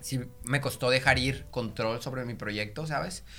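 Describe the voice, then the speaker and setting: A man talks with a bright, sharp tone. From Mexico, Monterrey. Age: 20s. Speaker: singer and content creator. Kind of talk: casual chat.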